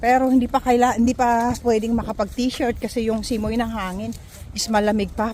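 Noticeable background noise sits behind a woman's voice. She speaks at a moderate pace with a fairly high pitch. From Philippines. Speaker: vlogger. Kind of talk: casual vlog talking to camera. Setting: outdoors, walking.

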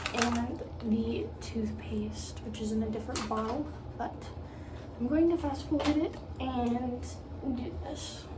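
A woman at a fairly slow pace, with long, frequent pauses and noticeable background noise. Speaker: pet owner vlogger. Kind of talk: casual vlog chat. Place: bathroom. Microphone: phone near.

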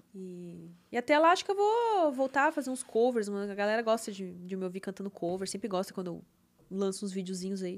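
Speaking at a fairly quick pace, a woman shows big swings in loudness and ordinary pitch variation. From southern Brazil, Porto Alegre area; Rio Grande do Sul, Brazil. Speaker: singer and webcam model; podcast guest. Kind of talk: casual interview chat. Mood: relaxed, reflective. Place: studio. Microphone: studio mic.

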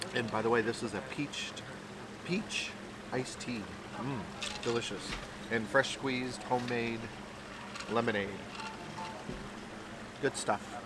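Against loud background noise, a man talks at a fairly slow pace with long, frequent pauses, the sound dry with no echo. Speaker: food vlogger. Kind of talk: casual vlog chat. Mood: cheerful, relaxed. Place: cafe.

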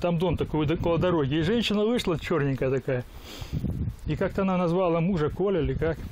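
At a very fast pace, the speaker talks with ordinary pitch variation while noticeable background noise plays. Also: man. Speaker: visiting descendant interviewing relatives. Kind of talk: casual talk, asking questions. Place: garden.

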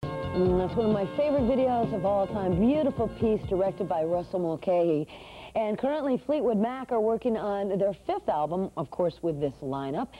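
Very wide pitch swings mark a woman's voice at a moderate pace. Faint music plays in the background. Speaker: music TV presenter. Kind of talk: TV music channel announcement. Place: studio.

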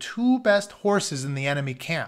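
A man at a moderate pace with big pitch swings

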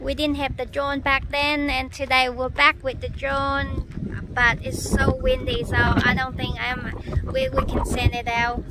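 Loud background noise fills this clip, though the sound itself is dry with no echo. A woman speaks at a fairly slow pace. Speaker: travel vlogger. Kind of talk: casual vlog chat. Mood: mildly disappointed. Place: open country. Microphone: phone near.

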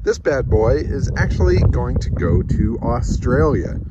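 Noticeable background noise sits behind a man's voice, and the sound is dry with no echo. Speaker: car salvage vlogger. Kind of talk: casual vlog chat. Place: open country. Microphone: phone near.

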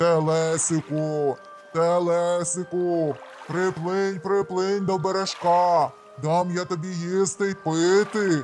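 Over clear music in the background, a man puts on a high-pitched character voice and speaks at a very slow pace. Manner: calling out, deceptive.

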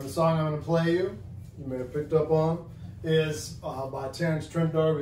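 The speech moves at a moderate pace with ordinary pitch variation. Audible room echo and light background noise are present. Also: man. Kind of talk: casual vlog chat. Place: home room. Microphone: camera far.

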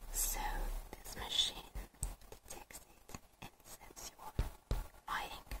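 A woman is whispering. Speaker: ASMR content creator. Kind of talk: casual commentary while browsing a page. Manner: whispered, soft-spoken, reflective.

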